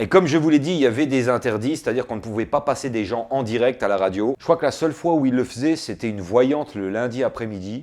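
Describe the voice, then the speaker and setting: With an Alsatian accent, a man talks at a very fast pace with hardly any pauses. His pitch is medium with ordinary variation. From Alsace, France.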